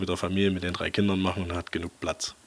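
In a very deep, low voice, a man talks at a very fast pace with a monotone, flat intonation. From Saxony, Leipzig. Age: 30s. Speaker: tractor collector. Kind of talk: casual interview. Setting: in his workshop.

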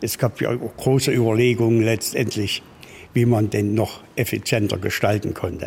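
Somewhat breathy and monotone, a man speaks at medium pitch with flat intonation and a moderate pace. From Thuringia, Apolda area. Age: 70s. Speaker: classic car restorer. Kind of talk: interview.

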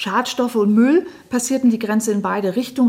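The woman's voice is somewhat breathy. Its tone is dark and mellow, with ordinary pitch variation. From northern Germany, Lower Saxony (Lüneburg Heath). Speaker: historian. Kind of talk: radio interview. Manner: measured, with filler hesitations.

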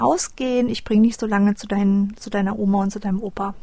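Her voice is somewhat breathy, with a dark, mellow tone and fairly even intonation. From Düsseldorf, Germany. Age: 30s. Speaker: abuse survivor. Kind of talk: testimony. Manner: hesitant, many fillers.

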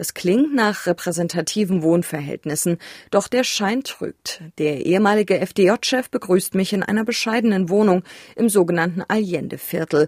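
A woman's ordinary speaking voice, medium in pitch with ordinary pitch variation, at a moderate pace. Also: dry, close sound with no echo. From Saxony, Germany. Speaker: podcast host, journalist. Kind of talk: narration and interview.

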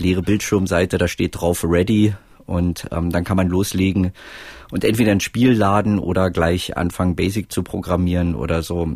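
A man talks with fairly even intonation. His voice is very deep and low. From East Germany, Roßlau and East Berlin. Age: 40s. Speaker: author and filmmaker. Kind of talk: casual interview. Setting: remote call with headset.

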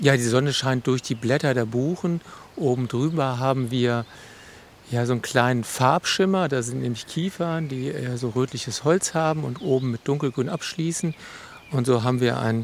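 A man's normal speaking voice with ordinary pitch variation. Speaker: forest educator. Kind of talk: interview. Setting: outdoors in a forest.

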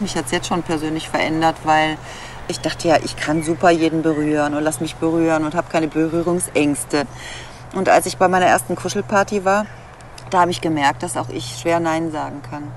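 A very deep, low female voice at a fairly quick pace, with fairly even intonation, over noticeable background noise. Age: 50s. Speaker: cuddle therapist in training. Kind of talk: interview testimony.

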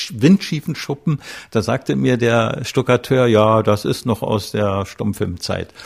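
With vocal fry and lively intonation, a man at a medium pitch speaks at a moderate pace in a very clean recording with a silent background. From East Germany. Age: 70s. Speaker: film director. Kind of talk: interview.

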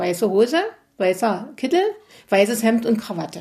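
The woman's somewhat breathy voice has lively intonation. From Upper Lusatia, Saxony. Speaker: agricultural engineer. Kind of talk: interview.

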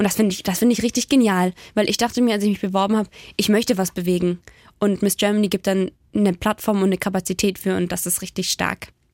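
Speech comes at a very fast pace with fairly even intonation. The sound is dry and close with no echo, a very clean recording over a silent background. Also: woman, medium pitch for a woman. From Baden-Württemberg, near Ravensburg. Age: 20s. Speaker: beauty pageant winner and youth worker. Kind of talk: casual radio interview. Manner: fast, gushing.

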